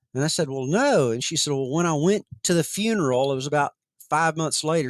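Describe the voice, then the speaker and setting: In an American accent, a man speaks with fairly high pitch in a plain, everyday voice. The recording is very clean, dry and close, with a silent background and no echo. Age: 60s. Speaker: author and researcher on near-death experiences. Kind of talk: interview conversation.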